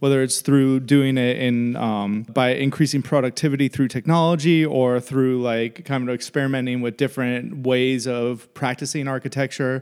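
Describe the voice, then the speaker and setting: At a moderate pace with hardly any pauses, a man with an American accent speaks with fairly even intonation. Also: medium pitch for a man. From Florida and upstate New York. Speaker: architect, co-founder. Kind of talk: casual chat. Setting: studio.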